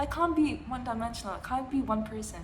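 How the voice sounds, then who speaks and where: Audible room echo fills the recording. A woman talks at a fairly quick pace. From India. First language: Hindi. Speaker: vlogger. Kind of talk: casual monologue. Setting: at home, living room. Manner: halting, with many fillers and restarts.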